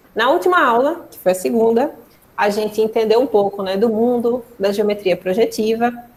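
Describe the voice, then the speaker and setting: A woman's voice, a normal speaking voice. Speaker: mathematics lecturer. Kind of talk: online lecture.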